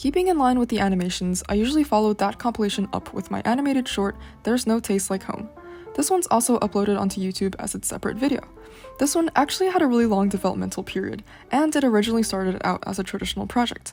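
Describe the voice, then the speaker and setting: Over music in the background, a woman speaks at a very fast pace with lively intonation and a fairly high pitch. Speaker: art student. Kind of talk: portfolio walkthrough narration. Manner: casual.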